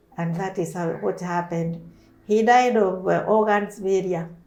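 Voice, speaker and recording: Her voice has a medium pitch and a dark, mellow tone. The woman speaks at a fairly slow pace with ordinary pitch variation. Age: 70s. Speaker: breast cancer survivor, teacher. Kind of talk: interview testimony.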